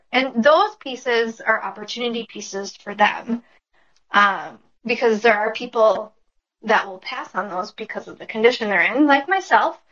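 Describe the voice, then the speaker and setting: A woman with an American accent speaks in a plain, everyday voice, fairly high in pitch, with ordinary pitch variation and big swings in loudness. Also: moderate pace. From Minnesota, US. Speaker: furniture refinisher. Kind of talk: casual interview.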